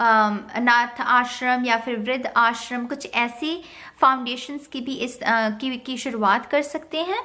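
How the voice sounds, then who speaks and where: A woman speaks at a high pitch with ordinary pitch variation. Her tone is bright and sharp. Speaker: tarot reader. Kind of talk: tarot reading to camera.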